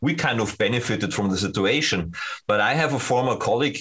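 Moving at a fairly quick pace, a man speaks at medium pitch with ordinary pitch variation. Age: 50s. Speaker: sales engineer at a security company. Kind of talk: interview. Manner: halting.

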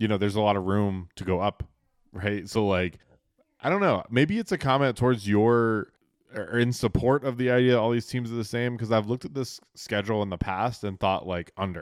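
A man with an American accent and a fairly low pitch speaks at a fairly quick pace with ordinary pitch variation. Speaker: podcast co-host. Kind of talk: casual chat. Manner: animated.

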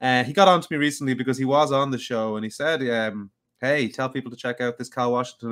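Speaking at a very fast pace, a man with a Dublin accent shows ordinary pitch variation. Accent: Dublin Irish. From Dublin, Ireland. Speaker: podcast host interviewing a fellow podcaster. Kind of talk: casual chat. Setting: live online stream.

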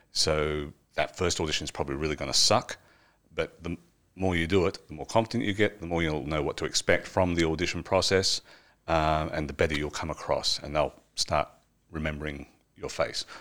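A man with an Australian accent speaks in a very deep, low pitch at a fairly quick pace. The recording is very clean, with a silent background. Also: ordinary pitch variation. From Wagga Wagga, Australia. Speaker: actor, filmmaker and parliamentary media technician. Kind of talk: casual interview chat. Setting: studio.

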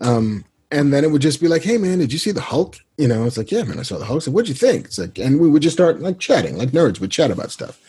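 A man with an American accent talks very fast with hardly any pauses, a fairly high pitch and vocal fry. His tone is dark and mellow, with very wide pitch swings. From New York City (the Bronx). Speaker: screenwriter and comic book writer. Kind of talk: interview.

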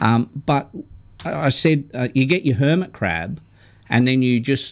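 A man with an Australian accent speaks at a moderate pace with lively intonation. The recording is very clean, with a silent background. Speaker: radio fishing show co-host. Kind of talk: casual chat.

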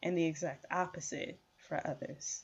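This woman has a plain, everyday voice, pitched fairly low, with an American accent. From Chicago. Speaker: podcast host. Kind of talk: solo podcast monologue.

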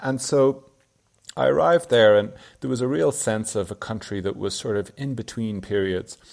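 A fairly low-pitched male voice with an Irish accent, very wide pitch swings and a moderate pace. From Ireland. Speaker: journalist and author. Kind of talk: interview. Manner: halting.

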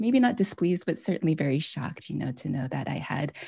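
A woman speaks with an American accent and vocal fry. The recording is very clean, with a silent background. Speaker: author and former hospital chaplain. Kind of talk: interview.

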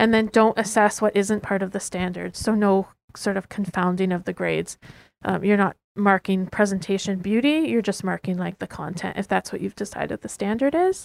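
Speaking at a fairly quick pace with a Western Canadian accent, a woman shows ordinary pitch variation in a dry, close sound with no echo. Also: medium pitch for a woman, very clean recording, silent background. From Lower Mainland, British Columbia. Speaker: student teacher. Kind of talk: prepared reflection.

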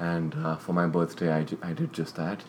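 A man with a very deep, low voice talks at a fairly slow pace, his pitch varying in an ordinary way. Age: 20s. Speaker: podcast co-host. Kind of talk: casual chat.

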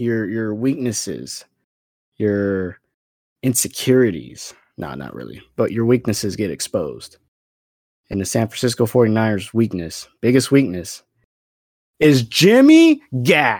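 The speech comes at a fairly slow pace with long, frequent pauses and lively intonation. The recording is very clean, with a silent background. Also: man, medium pitch for a man. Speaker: football podcast host. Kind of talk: angry sports rant, profane and sarcastic.

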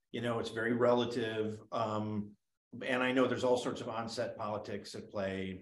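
A man with a plain, everyday voice at a medium pitch. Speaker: documentary director. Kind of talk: interview.

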